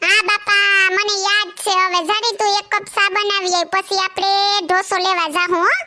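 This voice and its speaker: A woman does a cartoonish character voice at an extremely high pitch. Her intonation is monotone and flat. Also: moderate pace. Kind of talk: comic cartoon dialogue. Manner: genial, coaxing.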